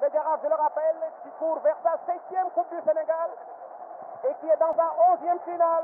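Amid noticeable background noise, a man with an extremely high pitch speaks in an excited tone, with big swings in loudness and long, frequent pauses. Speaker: football radio commentator. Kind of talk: live sports commentary. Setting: stadium. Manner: fast, excited play-by-play delivery, rising to a shout at the goal and the final whistle.

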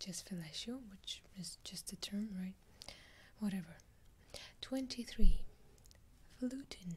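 A soft-spoken, somewhat breathy woman's voice. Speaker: video creator. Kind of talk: casual vlog chat. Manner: soft-spoken, hushed ASMR reading voice. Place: home room.

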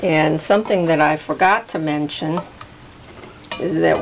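The pace is fairly slow. Noticeable background noise runs under the speech. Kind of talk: tutorial. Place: kitchen.

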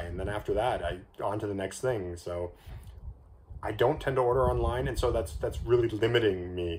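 Against light background noise, a somewhat breathy man with a Canadian accent speaks at a fairly quick pace, his pitch fairly low with ordinary variation. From Canada. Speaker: candy reviewer YouTuber; candy reviewer. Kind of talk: casual vlog monologue. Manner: hesitant, many fillers. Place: home room. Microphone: phone near.

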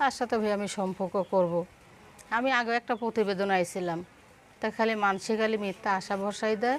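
A woman talks in an ordinary speaking voice of medium pitch. Her intonation is fairly even. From Bangladesh, Jessore (Kaliganj). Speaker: single mother seeking a husband, seamstress. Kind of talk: interview.

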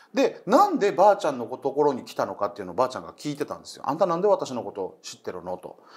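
Very fast delivery from a man, with hardly any pauses and big swings in loudness. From Okinawa; Japan. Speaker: comedian and ghost story teller; comedian, ghost story teller. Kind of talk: storytelling. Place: studio.

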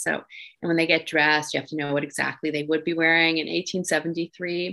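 With faint music in the background, a woman talks at a moderate pace in a Canadian accent. Her pitch is fairly low and her intonation fairly even. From Quebec, Montreal. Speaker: novelist; guest. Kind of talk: interview Q&A. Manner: halting. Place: home room. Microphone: video call.

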